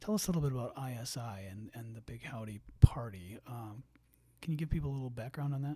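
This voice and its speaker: Talking at a very fast pace, a man with a medium pitch and a dark, mellow, somewhat breathy tone uses ordinary pitch variation and big swings in loudness. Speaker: podcast host. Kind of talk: interview. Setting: studio.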